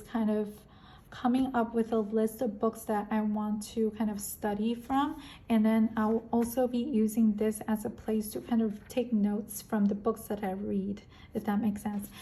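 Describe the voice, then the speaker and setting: A woman's somewhat breathy voice, fairly high in pitch, with a dark, mellow tone, monotone, flat intonation and a moderate pace. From Korea or China, moved to America at 13. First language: Korean and Chinese. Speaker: planner and stationery YouTuber. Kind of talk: casual vlog chat. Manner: many fillers and self-corrections.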